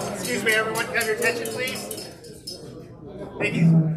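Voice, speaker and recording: A man uses a raised, projected voice with lively intonation, amid audible room echo and noticeable background noise. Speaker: club member leading meeting. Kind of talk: meeting address. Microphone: no microphone, PA down.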